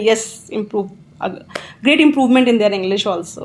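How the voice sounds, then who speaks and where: A woman's fairly quick, fairly high-pitched voice with an Indian accent and ordinary pitch variation. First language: Hindi. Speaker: English teacher. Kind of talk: interview.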